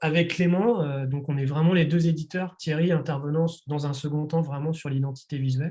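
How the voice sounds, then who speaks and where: A man's fairly high voice with music in the background. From France, Nantes. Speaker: publisher. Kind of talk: interview. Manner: hesitant, many fillers.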